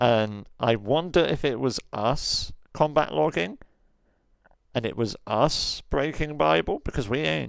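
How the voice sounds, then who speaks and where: On a very clean recording with a silent background, a man with vocal fry speaks at a fairly slow pace and medium pitch, with very wide pitch swings. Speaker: streamer and roleplay gamer. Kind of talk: rant.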